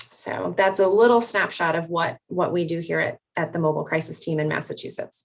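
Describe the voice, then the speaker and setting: At a fairly quick pace with hardly any pauses, a woman with an unremarkable speaking voice talks at a fairly low pitch and fairly even intonation. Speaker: mobile crisis clinician. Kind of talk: panel presentation.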